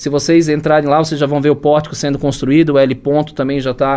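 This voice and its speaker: A man's ordinary speaking voice, fairly high in pitch, at a fairly quick pace. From Blumenau, Santa Catarina, southern Brazil. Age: 40s. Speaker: entrepreneur, construction business owner. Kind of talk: podcast interview.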